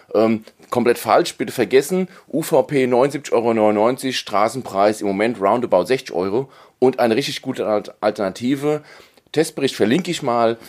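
In a very clean recording with a silent background, a man with an unremarkable speaking voice talks at a moderate pace, his medium pitch showing ordinary variation. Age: 40s. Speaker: tech podcast host. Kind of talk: casual chat.

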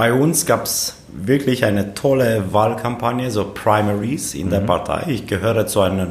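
A man's fairly low voice at a moderate pace, ordinary pitch variation, with noticeable background noise and audible room echo. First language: Romanian (speaking German). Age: 30s. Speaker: politician, member of parliament. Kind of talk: casual interview. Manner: halting, frequent repetitions.

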